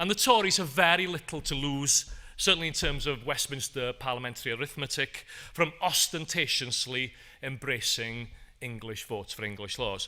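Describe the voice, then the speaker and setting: A man with a strong North Welsh accent speaks at a moderate pace with lively intonation. His pitch is fairly high and his tone bright and sharp. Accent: Anglesey Welsh accent, strong. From Wales, Anglesey. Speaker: professor. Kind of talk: conference talk.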